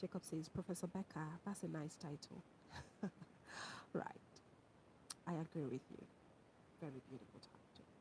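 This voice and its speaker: This voice has a dark, mellow, somewhat breathy tone with ordinary pitch variation and big swings in loudness. It moves at a moderate pace with long, frequent pauses. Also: woman, very deep, low pitch for a woman. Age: 30s. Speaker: university lecturer and livestreamer. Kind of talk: livestream chat reading viewer comments. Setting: live stream. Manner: casual, conversational.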